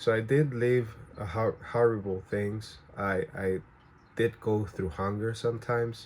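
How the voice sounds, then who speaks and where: Somewhat breathy speech with a Spanish accent and fairly even intonation. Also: man. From Venezuela. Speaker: vlogger. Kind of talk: personal storytelling to camera. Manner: halting, many fillers and restarts.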